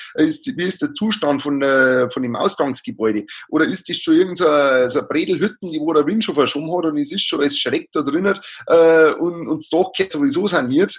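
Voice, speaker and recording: In a strong Bavarian accent, a man with a fairly high pitch speaks at a moderate pace with lively intonation. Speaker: livestock housing advisor. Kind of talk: interview. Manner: halting, many fillers.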